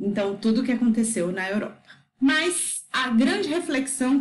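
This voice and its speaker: In a room with audible echo, a woman talks at a fairly slow pace in a high voice. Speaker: educator explaining a book. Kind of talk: lecture.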